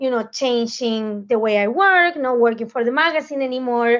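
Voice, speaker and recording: A woman with a Spanish accent and a high pitch talks at a moderate pace with ordinary pitch variation over a quiet background. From Argentina. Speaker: food magazine professional. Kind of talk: panel discussion.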